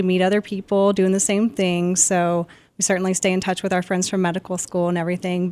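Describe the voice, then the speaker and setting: This woman speaks very fast with an American accent at a medium pitch. The recording is very clean, with a silent background. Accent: slight Southern, mostly only in y'all. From US South, Georgia (Marietta, near Atlanta). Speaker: radiation oncologist. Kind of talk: podcast interview.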